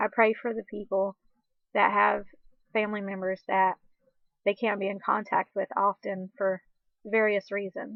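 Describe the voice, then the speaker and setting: A woman at medium pitch speaks with monotone, flat intonation. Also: moderate pace. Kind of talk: devotional talk. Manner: halting, struggling with syllables at times.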